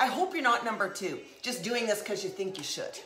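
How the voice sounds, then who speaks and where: With audible room echo and noticeable background noise, a woman speaks in an animated tone, her pitch swinging very widely. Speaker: comedy and lifestyle livestreamer. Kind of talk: casual live stream chat. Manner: loud talker.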